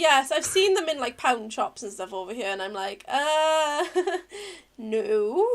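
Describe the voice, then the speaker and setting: Her high pitch makes very wide swings as this woman speaks at a fairly slow pace. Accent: Welsh. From Wales. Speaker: podcast host and streamer. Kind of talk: casual chat. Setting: live stream.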